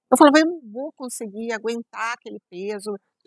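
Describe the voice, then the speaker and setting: In a dry, close sound with no echo, a woman talks at a moderate pace with lively intonation. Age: 60s. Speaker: podcast host. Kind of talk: casual interview chat. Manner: animated.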